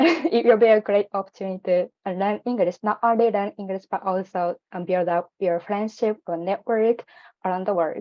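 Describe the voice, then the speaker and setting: At a moderate pace, a woman speaks with a non-native accent at a medium pitch, with ordinary pitch variation. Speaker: program alumna. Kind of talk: personal testimony in online info session. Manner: hesitant, many fillers.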